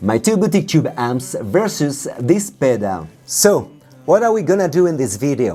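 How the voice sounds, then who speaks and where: A man with a non-native accent speaks at a moderate pace and a fairly high pitch, his voice making very wide pitch swings. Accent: noticeable foreign. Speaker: guitarist and gear reviewer. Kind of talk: product review.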